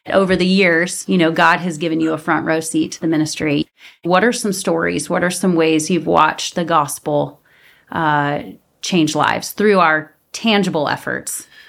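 A woman's fairly low voice with vocal fry, fairly even intonation and a moderate pace, in a very clean recording over a silent background. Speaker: podcast host. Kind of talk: faith-based interview.

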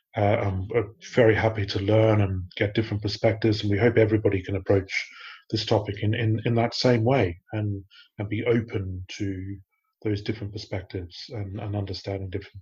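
A somewhat breathy man's voice at a fairly quick pace, with flat, monotone intonation. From Australia. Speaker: podcast host, research manager. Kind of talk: casual chat.

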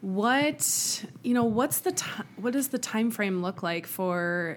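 Here a woman speaks at a very slow pace. Her intonation is lively. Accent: American. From Wisconsin. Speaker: podcast co-host, loan originator. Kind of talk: reading a guest bio; casual chat.

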